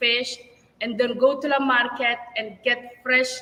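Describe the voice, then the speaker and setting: A woman speaks at a fairly slow pace in a raised, projected voice, high-pitched and with a non-native accent. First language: not English. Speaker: restaurant owner and chef. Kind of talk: interview.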